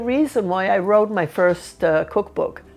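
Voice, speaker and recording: A woman with an Italian accent speaks at a moderate pace and a medium pitch, her intonation lively. The recording is very clean, with a silent background. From Sicily, Italy. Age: 80s+. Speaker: cooking channel host and cookbook author. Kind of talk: interview answering viewer questions.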